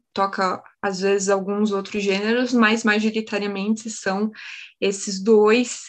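Her voice is fairly high and stays in a flat monotone. The woman speaks at a very slow pace. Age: 20s. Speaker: biologist and community radio host. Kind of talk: casual interview chat.

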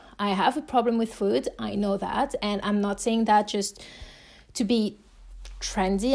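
Speaking with a French accent, a woman keeps her intonation fairly even. The recording is very clean, with a silent background. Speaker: podcast host. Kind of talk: solo personal podcast monologue. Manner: casual, conversational, warm.

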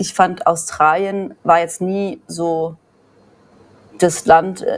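A woman's fairly low voice at a very slow pace. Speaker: emigrant mother of three. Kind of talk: casual chat.

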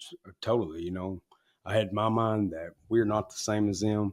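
At a moderate pace, a man with an Arkansas accent speaks at a fairly low pitch with fairly even intonation, on a very clean recording with a silent background. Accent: Southern US (Arkansas). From Arkansas, US South. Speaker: former gang member in recovery. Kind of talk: interview, personal testimony.

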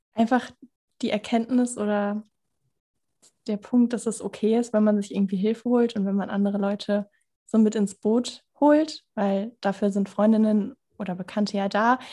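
Somewhat breathy and dark and mellow in tone, a woman with fairly high pitch speaks at a moderate pace with fairly even intonation and long, frequent pauses. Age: 20s. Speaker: former coaching client, student and podcaster. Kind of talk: casual interview chat.

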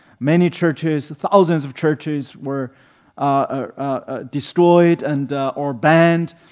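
Speaking very slowly with fairly even intonation, a man with a Chinese accent uses a fairly high pitch in a very clean recording with a silent background. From China. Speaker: human rights advocate and pastor. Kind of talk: sermon. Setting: church. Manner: halting, many fillers.

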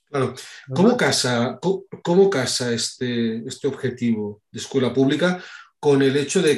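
A man at medium pitch with ordinary pitch variation and a moderate pace. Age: 40s. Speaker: podcast host. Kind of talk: interview. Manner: hesitant with many fillers.

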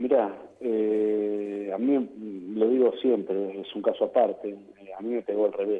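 Speaking at a fairly slow pace, a man delivers his words in a fairly low, monotone voice with flat intonation. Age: 40s. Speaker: football player. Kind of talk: interview.

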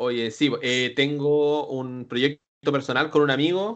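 A man speaks with a Chilean accent at a very slow pace. His pitch is fairly high. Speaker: wrestling manager. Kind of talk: casual chat.

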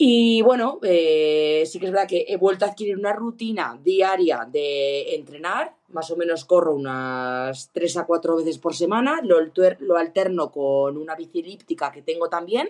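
Using a normal speaking voice, a woman with a fairly low pitch talks at a fairly slow pace, with lively intonation, hardly any pauses, and big swings in loudness. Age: 30s. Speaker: ski instructor and runner sending a listener question. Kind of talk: recorded voice question.

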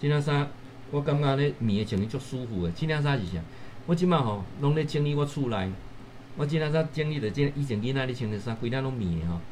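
Audible room echo surrounds a man speaking at a fairly quick pace in a medium pitch with lively intonation. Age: 50s. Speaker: professor and livestream host. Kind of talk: livestream talk. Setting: livestream. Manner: animated.

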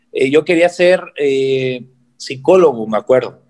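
A man speaks with ordinary pitch variation. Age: 20s. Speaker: bodybuilder and fitness coach. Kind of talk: interview.

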